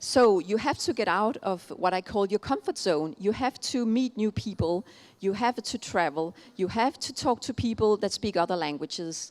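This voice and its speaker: Speaking with a Danish accent, a woman uses a medium pitch, lively intonation and a moderate pace, with a dry, close sound and no echo. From Denmark. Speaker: keynote speaker on innovation. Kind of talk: keynote speech. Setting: conference stage with audience. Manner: hesitant, many fillers.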